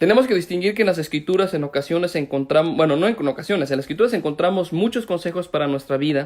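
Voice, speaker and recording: Very fast and full of lively intonation, a man's high-pitched voice carries the clip. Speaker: pastor. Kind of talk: sermon. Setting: online live stream.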